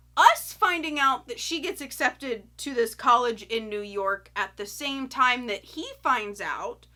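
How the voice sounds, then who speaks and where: A woman with an American accent speaks fairly slowly in a high pitch and a bright, sharp tone, with lively intonation, big swings in loudness and hardly any pauses. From US South, Florida. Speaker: YouTuber, film reviewer. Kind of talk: casual movie review. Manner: animated.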